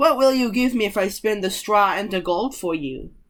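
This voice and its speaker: A female-sounding put-on character voice sits at a fairly high pitch. It moves at a moderate pace. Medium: read story. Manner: sly, bargaining.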